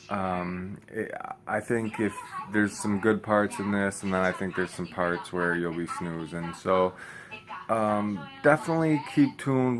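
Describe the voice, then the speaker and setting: A man speaks with an American accent at a moderate pace. Noticeable background noise is present. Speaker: vlogger. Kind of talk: casual vlog talk. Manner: monotone; low energy, many fillers.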